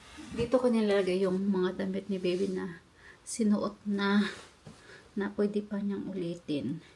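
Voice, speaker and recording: A woman with a medium pitch talks at a fairly slow pace, her voice somewhat breathy and her intonation fairly even. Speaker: vlogger. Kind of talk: casual vlog chat. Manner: halting.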